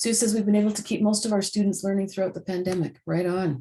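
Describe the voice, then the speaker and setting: Speaking at a very fast pace, a woman has a medium-pitched, somewhat breathy voice with a dark, mellow tone and fairly even intonation. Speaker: webinar facilitator. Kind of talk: webinar presentation.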